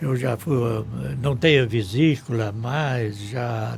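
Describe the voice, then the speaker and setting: Speech comes at a very slow pace with ordinary pitch variation, and noticeable background noise runs underneath. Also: man. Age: 80s+. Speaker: town pioneer. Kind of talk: radio interview. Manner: short of breath.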